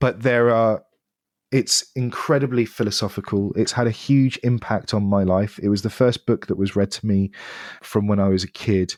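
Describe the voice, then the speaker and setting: Fairly low in pitch, a man speaks at a moderate pace with fairly even intonation. The sound is dry and close with no echo, in a very clean recording with a silent background. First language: French or another non-English language. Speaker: education technology founder. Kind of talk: podcast interview.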